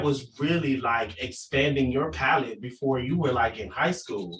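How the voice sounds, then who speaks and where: The voice shows vocal fry and lively intonation. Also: man. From Jamaica. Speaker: podcast host. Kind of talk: casual interview.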